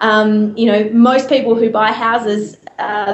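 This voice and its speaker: A woman with an Australian accent speaks at a fairly high pitch in a monotone with flat intonation, over noticeable background noise. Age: 20s. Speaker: real estate agent and auctioneer. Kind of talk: interview answer.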